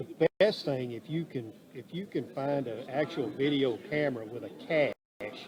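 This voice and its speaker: A man's fairly high voice at a fairly slow pace, with ordinary pitch variation and big swings in loudness. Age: 60s. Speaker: fishing TV show host and producer. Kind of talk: casual interview chat. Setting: interview booth at a fishing expo. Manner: talkative.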